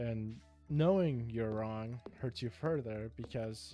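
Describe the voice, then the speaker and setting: The speaker mumbles. Music plays in the background. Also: man. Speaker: gaming video creator. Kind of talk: rambling personal talk about emotions. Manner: mumbled, slurred words.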